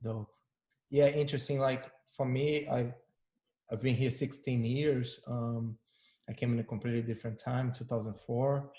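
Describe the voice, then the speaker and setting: Somewhat breathy, with a dark, mellow tone, a man at a medium pitch speaks in a monotone, flat way at a moderate pace, leaving long, frequent pauses. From Brazil, Rio de Janeiro. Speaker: panel host, brand marketer. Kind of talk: panel discussion.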